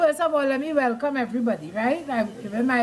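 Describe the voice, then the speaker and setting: Music plays in the background. The voice has ordinary pitch variation. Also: woman. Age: 70s. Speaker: school alumna giving history. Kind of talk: speech at a reunion.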